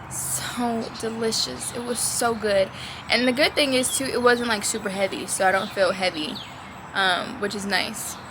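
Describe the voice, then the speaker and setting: In a room with audible echo and noticeable background noise, a woman speaks at a fairly high pitch. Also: ordinary pitch variation, moderate pace. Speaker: vlogger. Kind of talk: casual vlog chat.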